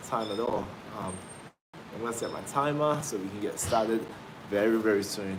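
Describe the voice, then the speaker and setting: With an energetic tone, a man at medium pitch talks at a fairly quick pace with ordinary pitch variation, amid audible room echo and noticeable background noise. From Australia. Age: 20s. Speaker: fitness trainer. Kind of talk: live stream chat.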